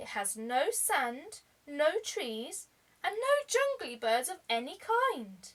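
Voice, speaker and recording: A put-on character voice moves at a very slow pace with very wide pitch swings. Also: woman, high pitch for a woman. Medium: read story.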